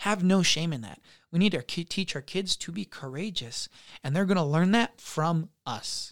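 An unremarkable speaking voice from a man with an American accent and lively intonation. He speaks at a moderate pace in a very clean recording with a silent background. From Utah. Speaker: high school counselor. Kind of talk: casual chat. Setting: studio.

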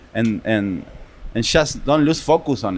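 A man speaks in an Argentine accent. His pitch variation is ordinary. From Argentina, Buenos Aires. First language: Spanish. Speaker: restaurant owner. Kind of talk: casual chat. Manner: animated.

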